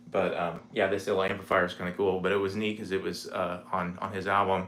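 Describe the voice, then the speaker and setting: Delivered very fast in a monotone, flat intonation, this American-accented voice carries audible room echo. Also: man, very deep, low pitch for a man. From Indiana, US Midwest. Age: 40s. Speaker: guitarist. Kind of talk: casual chat. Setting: home livestream. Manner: relaxed, halting with fillers.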